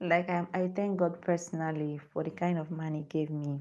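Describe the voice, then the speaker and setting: Against a quiet background, a woman speaks with a Nigerian accent. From Nigeria (Igbo). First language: Igbo. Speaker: lifestyle vlogger. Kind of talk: live stream chat. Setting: live stream on phone with ring light.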